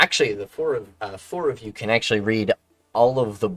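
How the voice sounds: With only a quiet background behind it, a natural reading voice carries the text.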